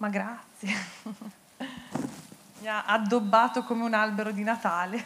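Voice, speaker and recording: A woman's fairly high pitch in a monotone, flat intonation at a very slow pace, over noticeable background noise. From Bergamo, northern Italy; northern Italy. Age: 30s. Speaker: paralympic athlete; guest. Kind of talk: on-stage interview. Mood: warm, grateful. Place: stage. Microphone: handheld.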